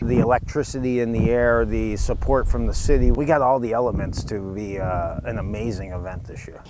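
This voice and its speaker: Fairly low-pitched male speech at a fairly quick pace, with ordinary pitch variation, hardly any pauses and noticeable background noise. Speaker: event director. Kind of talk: interview answer. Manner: enthusiastic.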